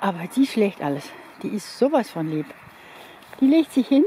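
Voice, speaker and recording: A woman talks at a fairly slow pace, the sound dry with no echo and light background noise behind her. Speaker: dog owner vlogger. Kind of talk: casual vlog chat. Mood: warm, affectionate. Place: open country. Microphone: phone near.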